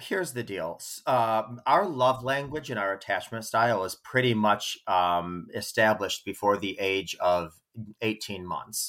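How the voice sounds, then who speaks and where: A man with an unremarkable speaking voice, medium pitch and lively intonation, at a fairly slow pace with hardly any pauses and big swings in loudness, on a very clean recording with a silent background. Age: 40s. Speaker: relationship coach. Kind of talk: casual chat.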